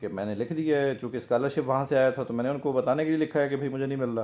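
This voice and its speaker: This man's voice sits at a fairly high pitch, with a dark, mellow tone and ordinary pitch variation. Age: 50s. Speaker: businessman. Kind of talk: casual talk to camera, personal story.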